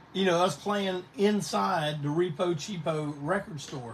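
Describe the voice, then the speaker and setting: Speaking in a Carolinas accent, a man takes a very slow pace with lively intonation. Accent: Southern US (Carolinas). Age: 60s. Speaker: punk band singer and live show host. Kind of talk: casual livestream chat. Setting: live Facebook stream. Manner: rambling, conversational.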